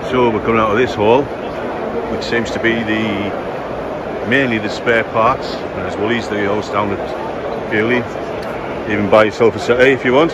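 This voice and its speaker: A man speaks with long, frequent pauses over loud background noise. The sound is dry, with no echo. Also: moderate pace. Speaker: car show vlogger. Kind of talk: casual vlog commentary. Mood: jokey, relaxed. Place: hall. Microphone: phone near.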